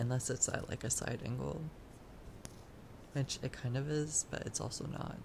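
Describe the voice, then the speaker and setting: A soft-spoken voice moves at a moderate pace with long, frequent pauses over noticeable background noise. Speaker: artist vlogger. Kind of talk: casual chat. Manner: halting. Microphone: audio issues, quiet.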